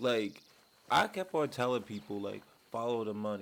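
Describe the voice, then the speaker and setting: A man's moderately paced speech is heard against noticeable background noise. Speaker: YouTuber commentator. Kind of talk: casual vlog commentary. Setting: home man cave. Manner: animated.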